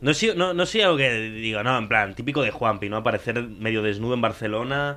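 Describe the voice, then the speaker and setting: Speaking at a fairly quick pace, the man has a medium-pitched voice with a bright, sharp tone. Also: ordinary pitch variation. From Spain, raised from age four; born in Córdoba, Argentina. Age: 20s. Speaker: podcast host. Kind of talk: casual chat.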